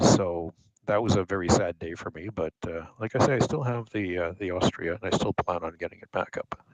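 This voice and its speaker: Heard with a dry, close sound and no echo, a man with a Canadian accent speaks at a very deep, low pitch. He goes at a fairly quick pace, with big swings in loudness. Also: ordinary pitch variation. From Canada, eastern Ontario. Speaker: glider pilot. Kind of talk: casual chat. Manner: halting.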